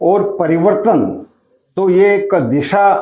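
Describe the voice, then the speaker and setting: A man with a high-pitched voice. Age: 70s. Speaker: veteran party worker. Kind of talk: studio interview. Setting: studio. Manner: formal.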